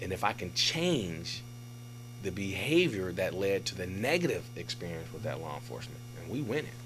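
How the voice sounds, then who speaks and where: A man with an American accent speaks at a moderate pace and medium pitch. His intonation is lively, and audible room echo surrounds him. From Oakland, California. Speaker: police captain. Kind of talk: casual interview. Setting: studio.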